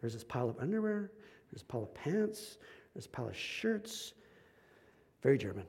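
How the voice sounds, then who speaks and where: With audible room echo, a man with a fairly high pitch talks at a very fast pace, making very wide pitch swings and big swings in loudness, broken by long, frequent pauses. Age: 40s. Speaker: pastor. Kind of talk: sermon.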